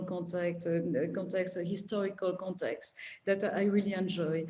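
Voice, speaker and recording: A woman with a French accent talks at a fairly quick pace with fairly even intonation. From France. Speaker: art collector. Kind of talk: panel discussion.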